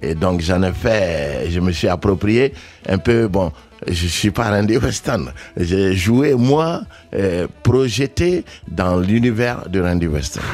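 A man's very deep, low voice with lively intonation at a very slow pace, over noticeable background noise. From Mali. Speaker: jazz pianist. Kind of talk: radio interview.

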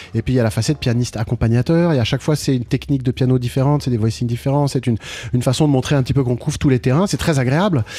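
Very fast speech comes from a man with a medium-pitched, somewhat breathy voice and a dark, mellow tone. His pitch varies in an ordinary way, and his loudness stays very even. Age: 60s. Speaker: jazz pianist. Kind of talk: radio interview. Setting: radio studio, live broadcast. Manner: halting, with many repeated words.

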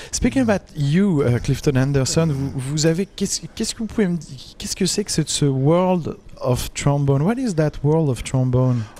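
Fairly quick and fairly high-pitched, a man speaks with lively intonation and a dark, mellow tone. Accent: French. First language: French. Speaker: jazz radio host and interviewer. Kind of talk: live radio interview with interpreting. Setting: live broadcast at a jazz festival. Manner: halting, many hesitations.

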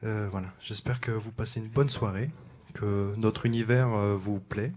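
On a very clean recording with a silent background, the speaker keeps fairly even intonation. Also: man. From Champagne-Ardenne, France. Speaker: jazz saxophonist. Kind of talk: on-stage announcements at a concert. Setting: jazz club stage with live audience. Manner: halting, many hesitations.

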